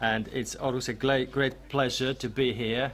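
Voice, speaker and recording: A strong Greek accent at a moderate pace. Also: man. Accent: heavy Greek. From Greece. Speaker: researcher and author. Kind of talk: presentation to audience. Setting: venue with live audience. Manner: hesitant, many fillers.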